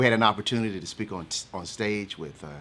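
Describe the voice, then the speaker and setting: In a Southern US accent, a man talks at a very fast pace with a fairly low pitch and ordinary pitch variation. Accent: Southern twang. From eastern North Carolina. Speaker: motivational speaker. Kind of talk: casual chat.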